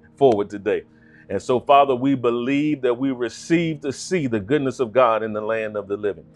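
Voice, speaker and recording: A man at a moderate pace with ordinary pitch variation, dry sound with no echo, and faint music in the background. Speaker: pastor. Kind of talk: prayer then sermon opening. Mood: fervent, prayerful. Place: studio.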